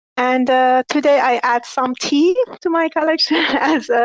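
A woman speaks at a fairly slow pace with fairly even intonation, the sound dry and close with no echo. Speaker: NFT artist. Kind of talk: casual chat. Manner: halting.

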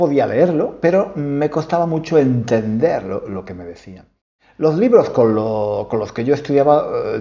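With a Spanish accent, a man speaks at a very slow pace in a medium-pitched voice that swings very widely in pitch. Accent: Peninsular Spanish. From Spain. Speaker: podcast host, Spanish teacher. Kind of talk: casual monologue for learners. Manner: halting, many repetitions.

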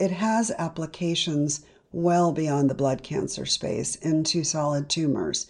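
A woman talks at a fairly slow pace, her pitch very deep and low. Her loudness stays very even and her pitch varies in an ordinary way. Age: 60s. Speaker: cancer survivor and patient advocate. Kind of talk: interview.

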